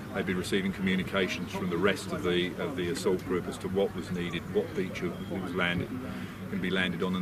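The man talks at a fairly quick pace. Loud background noise runs underneath. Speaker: military history reenactor. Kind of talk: explanatory talk to camera. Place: open country. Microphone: camera far.

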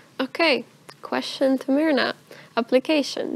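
Lively intonation from a woman with a Russian accent. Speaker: student presenter of university open day; student host. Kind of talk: moderated talk show. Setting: studio. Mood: relaxed, friendly. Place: hall.

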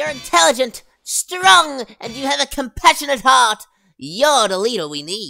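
A cartoonish character voice at a fairly high pitch and moderate pace, with very wide pitch swings

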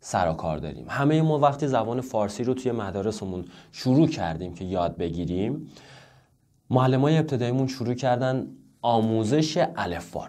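Against a quiet background, a man with a dark, mellow tone and medium pitch speaks at a moderate pace with lively intonation. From Iran. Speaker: Chinese language teacher. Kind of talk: tutorial. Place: home room.

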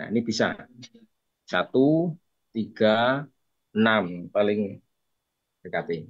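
Over a quiet background, a man talks at a very slow pace with long, frequent pauses and lively intonation. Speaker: teacher. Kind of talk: online tutorial session. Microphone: webcam.

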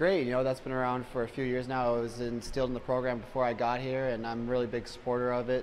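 Over light background noise, a man talks very fast at a medium pitch in a flat, monotone delivery. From Canada. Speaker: college ice hockey player. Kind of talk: post-game interview. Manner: casual, filler-heavy. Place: hall.

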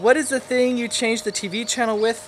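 Over light background noise, a man talks at a moderate pace with an American accent. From California, USA. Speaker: dialect project participant. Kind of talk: dialect survey recording, word list and answers. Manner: casual, relaxed. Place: garden.

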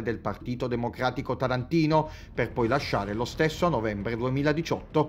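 At a moderate pace, a man speaks in a normal speaking voice at a medium pitch with ordinary pitch variation. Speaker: TV journalist. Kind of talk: scripted narration.

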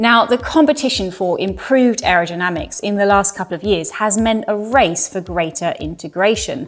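A woman talks at a fairly quick pace, and her pitch moves in an ordinary way. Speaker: presenter. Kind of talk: presenter talk to camera. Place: studio.

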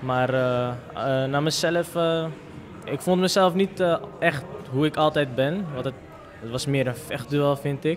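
Over light background noise, a man speaks very slowly with long, frequent pauses. His pitch is fairly high, with ordinary pitch variation. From Amsterdam, Netherlands. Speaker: football player. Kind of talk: post-match interview. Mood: happy, modest. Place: hall. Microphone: handheld.

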